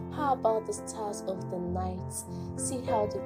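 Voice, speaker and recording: A woman at a fairly slow pace over background music. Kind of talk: spoken word poetry.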